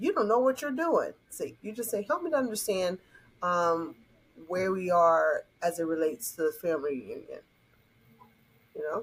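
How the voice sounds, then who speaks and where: A woman with a Southern US accent speaks at a moderate pace and medium pitch, with very wide pitch swings. Long, frequent pauses break up her speech. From US South. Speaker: conflict resolution coach. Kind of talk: podcast interview. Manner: animated.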